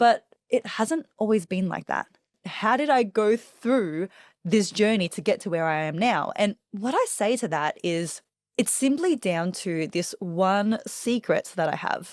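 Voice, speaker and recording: A woman with an Australian accent speaks at a medium pitch and a fairly slow pace with lively intonation, in a very clean recording with a silent background and a dry, close sound with no echo. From Australia, Melbourne. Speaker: public speaking coach. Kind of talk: interview.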